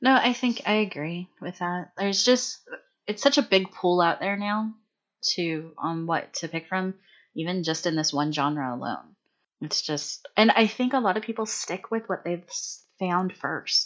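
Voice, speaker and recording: A woman speaks in a plain, everyday voice at a medium pitch. Her intonation is lively and her pace fairly slow. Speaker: returning guest, tabletop RPG player. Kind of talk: casual chat about gaming. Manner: casual, joking, profane.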